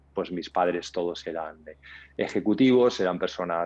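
The speaker is a man at a moderate pace. His pitch shows ordinary variation. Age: 50s. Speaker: entrepreneur; podcast guest. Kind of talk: interview. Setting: video call. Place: home room. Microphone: earbuds.

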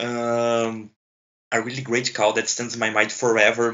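A man speaks with a Portuguese accent at medium pitch. His pace is moderate. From Brazil. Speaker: hockey podcast co-host. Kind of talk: casual sports chat. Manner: halting.

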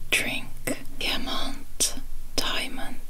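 The voice is soft-spoken and whispering. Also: woman. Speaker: language video creator. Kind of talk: tutorial. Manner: soft ASMR whisper reading word pairs. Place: home room. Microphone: phone near.

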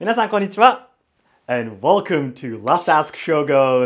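A man speaks at a fairly slow pace, with a medium pitch and ordinary pitch variation.

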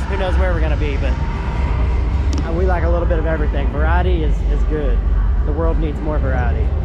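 Loud background noise surrounds a man talking at a very fast pace, the sound dry with no echo. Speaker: car show vlogger. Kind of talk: casual vlog chat. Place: hall. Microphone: phone near.

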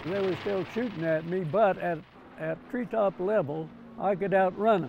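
A man's high voice with ordinary pitch variation at a moderate pace, dry with no echo, over light background noise. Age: 80s+. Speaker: war veteran, former fighter pilot. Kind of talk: interview answer. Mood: wry, good-humored.

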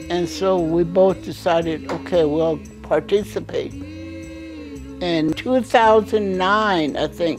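Clear music plays in the background as a woman talks very slowly. She hardly pauses at all. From Mescalero, New Mexico. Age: 80s+. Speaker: senior athlete, archer. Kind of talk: interview answer. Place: home room.

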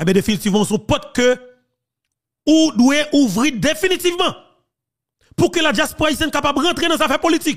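This man speaks at a fairly quick pace in an extremely high pitch, his intonation lively. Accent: Haitian. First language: Haitian Creole (speaking French). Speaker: political commentator. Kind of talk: political commentary.

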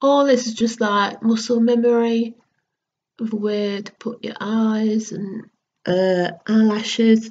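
A woman with an English accent speaks very slowly in a monotone, flat intonation, her fairly high voice somewhat breathy with a dark, mellow tone. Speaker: beauty vlogger. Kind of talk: makeup tutorial vlog. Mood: casual, a bit distracted. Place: home room. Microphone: webcam.

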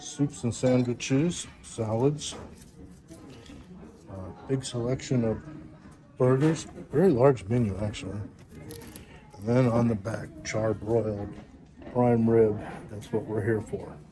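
Over noticeable background noise, a man talks at a fairly slow pace with ordinary pitch variation. His pauses are long and frequent. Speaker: restaurant reviewer. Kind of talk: casual vlog commentary. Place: cafe. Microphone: phone near.

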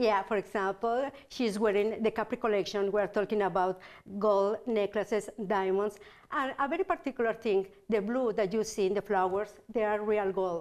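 Speaking at a moderate pace with an Italian accent, a woman keeps her intonation fairly even and her loudness very even against a quiet background. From Italy. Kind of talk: product showcase. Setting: TV studio. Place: studio. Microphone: lapel.

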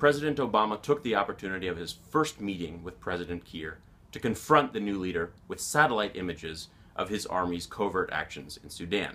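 A man talks at a fairly quick pace in a fairly low voice with a bright, sharp tone. His loudness swings widely. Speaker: journalist. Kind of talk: explanatory monologue to camera. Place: office.

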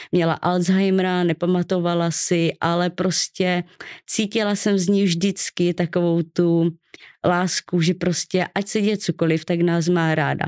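A woman speaks at a fairly slow pace in a monotone, flat intonation with very even loudness. The background is quiet. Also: fairly low pitch for a woman. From Czechia, Ostrava; Czechia. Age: 20s. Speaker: childhood trauma survivor; podcast guest. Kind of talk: personal testimony interview. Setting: studio. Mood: serious, recounting childhood trauma. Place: studio. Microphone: studio mic.

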